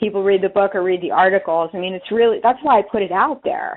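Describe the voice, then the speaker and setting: This woman, with an American accent, talks at a fairly quick pace and a medium pitch. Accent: East Coast US accent, comes back at times. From US East Coast. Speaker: author and leadership coach. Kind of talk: webinar talk. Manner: animated.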